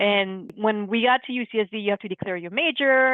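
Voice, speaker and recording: This is a woman speaking. Her pitch is medium. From Laos-born, raised San Diego, US. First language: Lao. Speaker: podcast guest. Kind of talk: casual chat.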